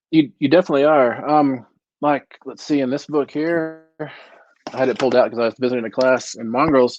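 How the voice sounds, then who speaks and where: Fairly quick and fairly even in intonation, a plain, everyday voice speaks with an American accent. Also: man, fairly high pitch for a man. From West Texas. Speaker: novelist. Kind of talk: casual chat.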